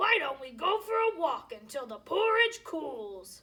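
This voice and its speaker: Using a put-on character voice, a woman growls at an extremely high pitch with very wide pitch swings, keeping a fairly slow pace. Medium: read story.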